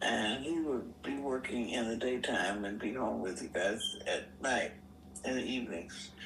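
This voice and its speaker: Moderately paced female speech with noticeable background noise. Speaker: retired army veteran and veterans hospital worker. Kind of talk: personal life story interview answer. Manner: casual, conversational.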